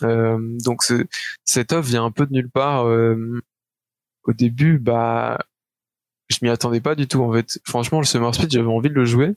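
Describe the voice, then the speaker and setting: The sound is dry and close, with no echo. A man speaks with fairly even intonation and long, frequent pauses. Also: medium pitch for a man, fairly slow pace, very even loudness. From Belgium. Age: 20s. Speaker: esports player. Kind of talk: interview. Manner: halting.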